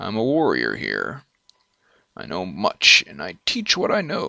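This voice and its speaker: A raspy, put-on character voice from a man, fairly slow, with big swings in loudness. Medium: actual play. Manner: plain, blunt.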